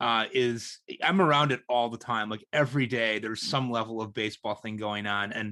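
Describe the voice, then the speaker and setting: Bright and sharp in tone, a man speaks with an American accent and fairly even intonation. The background is quiet. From US Midwest, south side of Chicago. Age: 40s. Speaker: fantasy baseball writer. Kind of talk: casual chat.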